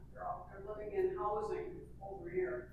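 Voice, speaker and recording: Audible echo from the room surrounds a woman as she talks fairly slowly. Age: 80s+. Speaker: senior citizen attendee. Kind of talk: public meeting comment. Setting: community hall meeting.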